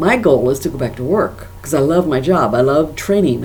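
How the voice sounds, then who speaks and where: A woman at a fairly quick pace, with ordinary pitch variation, audible room echo and noticeable background noise. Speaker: stroke survivor and corporate trainer vlogger. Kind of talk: personal video diary. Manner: careful enunciation; halting, repeats words.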